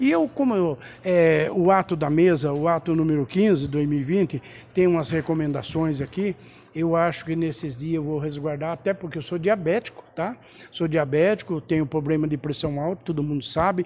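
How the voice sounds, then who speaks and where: He speaks in a normal speaking voice, pitched fairly high for a man. The pace is moderate and the pitch varies in an ordinary way. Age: 50s. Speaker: city councillor. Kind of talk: press statement.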